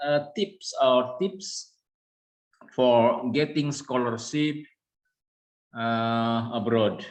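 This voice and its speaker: A man with an Indonesian accent speaks at a very slow pace. His pitch shows ordinary variation. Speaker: university lecturer. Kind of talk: presentation. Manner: hesitant.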